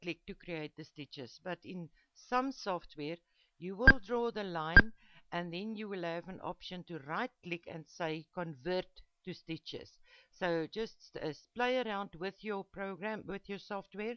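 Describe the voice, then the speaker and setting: With a non-native accent, a woman speaks fairly slowly at medium pitch, showing ordinary pitch variation and big swings in loudness. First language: not English. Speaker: embroidery digitizing teacher. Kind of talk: tutorial. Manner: halting, many fillers.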